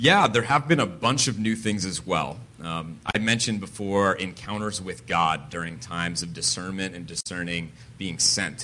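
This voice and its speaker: With audible room echo, a man in an American accent speaks at a moderate pace in a very deep, low pitch and a bright, sharp tone, with lively intonation and big swings in loudness. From Connecticut, New England. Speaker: pastor and church planter. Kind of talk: interview testimony in church service. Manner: halting, many filler words.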